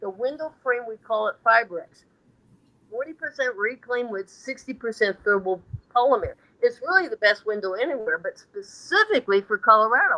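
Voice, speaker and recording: Speaking at a fairly quick pace, a woman with a high pitch and a bright, sharp tone sounds animated, with lively intonation and big swings in loudness, the sound dry and close with no echo. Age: 70s. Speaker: sales professional. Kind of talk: interview.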